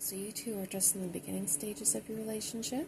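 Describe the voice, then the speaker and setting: A soft-spoken woman uses lively intonation, with noticeable background noise behind her. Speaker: tarot reader. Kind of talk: ASMR tarot reading.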